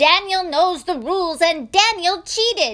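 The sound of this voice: A woman puts on a character voice at an extremely high pitch, bright and sharp in tone. She speaks slowly, with lively intonation.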